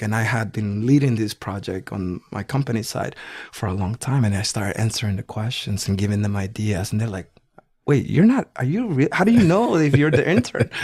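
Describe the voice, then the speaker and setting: Speaking fairly quickly with a Spanish accent, a man sounds somewhat breathy and uses lively intonation. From El Salvador. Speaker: business executive. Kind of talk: interview.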